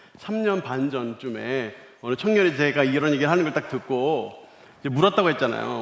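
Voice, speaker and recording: Lively intonation against noticeable background noise. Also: man. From Korea, Seoul. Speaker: pastor. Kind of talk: sermon. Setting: church service, broadcast to other floors.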